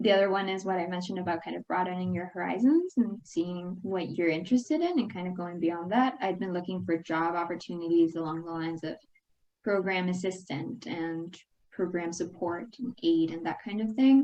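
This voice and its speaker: Here a woman speaks with a Spanish accent at a medium pitch. Her pace is fairly quick, and her pitch varies in an ordinary way. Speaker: alumna and international graduate on career panel. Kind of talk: panel discussion.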